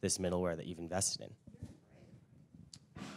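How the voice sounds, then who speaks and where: Recorded very cleanly with a silent background, a man speaks in a dark, mellow tone. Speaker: audience member asking question. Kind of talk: audience question. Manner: loud.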